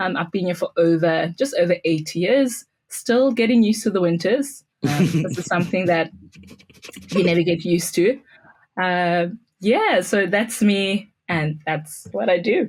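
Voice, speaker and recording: A somewhat breathy woman's voice at medium pitch, with lively intonation and a South African accent. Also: fairly slow pace. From South Africa, Pretoria. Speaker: school technology integrator. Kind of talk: podcast interview.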